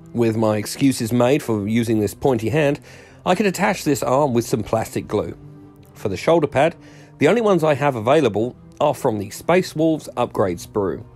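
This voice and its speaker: Music plays in the background as a man speaks at a moderate pace. His medium pitch makes very wide swings. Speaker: miniature hobbyist. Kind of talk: hobby tutorial voiceover.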